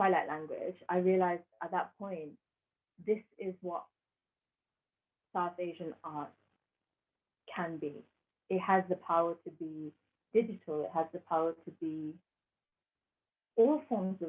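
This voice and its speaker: With a British accent, the speaker moves at a fairly slow pace with long, frequent pauses and ordinary pitch variation. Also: woman. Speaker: artist. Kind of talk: interview answer. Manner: eloquent.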